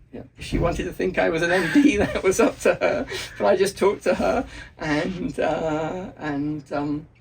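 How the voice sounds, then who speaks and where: The delivery has lively intonation at a moderate pace. Noticeable background noise sits behind the voice. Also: man, high pitch for a man. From England. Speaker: history professor. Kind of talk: casual interview. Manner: halting, many fillers.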